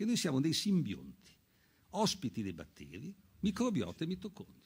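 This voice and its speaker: Pitch swinging very widely, a man talks at a fairly quick pace with vocal fry. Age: 80s+. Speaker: physician and author; doctor on a panel. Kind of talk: panel talk. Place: hall. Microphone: podium.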